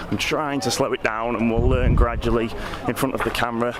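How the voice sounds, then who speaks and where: Medium-pitched male speech with ordinary pitch variation, audible room echo and noticeable background noise. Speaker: vlogger. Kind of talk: casual vlog talking to camera. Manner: fast.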